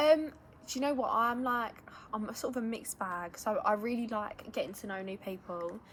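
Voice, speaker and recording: A woman with an English accent, fairly high-pitched, at a fairly quick pace with lively intonation. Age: young. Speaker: friend of the host. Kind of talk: casual chat. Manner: loud.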